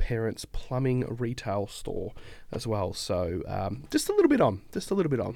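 This very clean recording has a silent background. On it, a man speaks at a moderate pace. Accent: Australian. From Australia. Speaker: accounting firm founder. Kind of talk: casual podcast interview. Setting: studio.

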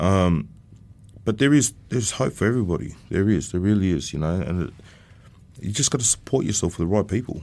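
A man with an Australian accent and very deep, low pitch, fairly quick with lively intonation but long, frequent pauses, on a very clean recording with a silent background. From Sydney, Australia (Bankstown). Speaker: former prisoner. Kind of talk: interview testimony.

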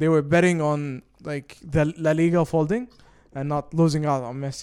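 A man speaks with an Arabic accent at a moderate pace. His pitch is fairly high and his intonation fairly even. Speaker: podcast co-host. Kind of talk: casual chat.

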